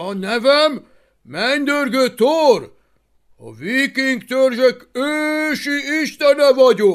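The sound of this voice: A man puts on a character voice at an extremely high pitch.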